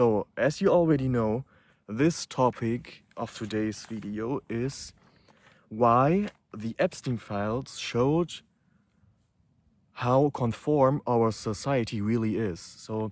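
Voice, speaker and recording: A man with a non-native accent speaks at a very slow pace with long, frequent pauses, at a medium pitch with ordinary pitch variation. The recording is very clean with a silent background and a dry, close sound with no echo. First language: not English. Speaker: YouTuber. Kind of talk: unscripted monologue. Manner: hesitant, with fillers.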